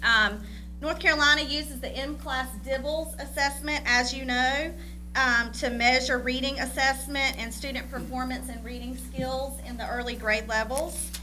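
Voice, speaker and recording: Through noticeable background noise and audible room echo, a woman talks at a moderate pace with big swings in loudness. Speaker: school district curriculum director. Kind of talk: presentation at school board meeting. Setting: board meeting.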